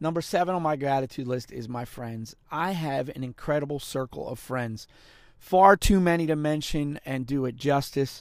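The recording is very clean, with a silent background, as a man speaks at a fairly high pitch and a moderate pace. His tone is animated, and his pitch varies in an ordinary way. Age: 40s. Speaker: motivational podcast host. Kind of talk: motivational monologue.

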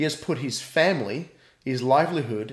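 At a moderate pace, a man with an Australian accent talks in a fairly high pitch with lively intonation. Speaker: pastor. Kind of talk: casual chat.

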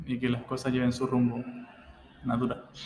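A man with a medium-pitched voice talks over noticeable background noise. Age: 20s. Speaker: physiotherapist and father. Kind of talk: interview. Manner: reserved, not very expressive.

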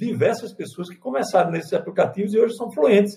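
A man talks at a fairly quick pace. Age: 50s. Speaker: pastor. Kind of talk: panel discussion.

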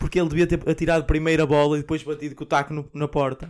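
A man's voice, fairly high in pitch. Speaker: podcast co-host. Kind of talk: casual chat.

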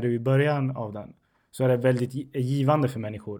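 A man with a non-native accent talks at a medium pitch in a monotone, flat way. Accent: non-native Swedish. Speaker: podcast host. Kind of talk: casual chat.

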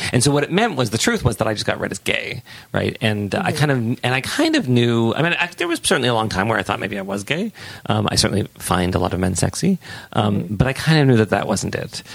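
Noticeable background noise accompanies a man. He speaks very fast with lively intonation. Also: medium pitch for a man. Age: 40s. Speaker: sex educator and author. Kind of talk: casual chat.

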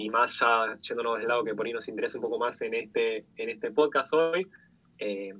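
A man talks with ordinary pitch variation. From Argentina. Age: 20s. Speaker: product designer and UX/UI teacher. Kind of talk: interview.

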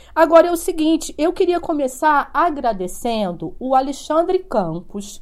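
Taking a fairly slow pace, a woman speaks with very wide pitch swings. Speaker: podcast host. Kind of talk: live-streamed interview. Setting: video call.

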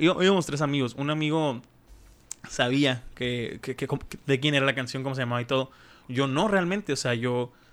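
A man's medium-pitched voice at a moderate pace. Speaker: podcast host. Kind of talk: casual chat. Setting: studio.

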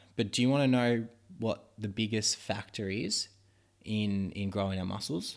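He has a plain, everyday voice, fairly low for a man. His intonation stays fairly even at a moderate pace. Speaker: podcast host teaching about muscle growth. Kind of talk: casual educational chat. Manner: rambling, informal, joking.

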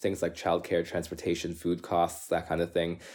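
A very fast voice in a Canadian accent on a very clean recording with a silent background. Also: man. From Canada. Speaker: urban planner. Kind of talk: casual interview.

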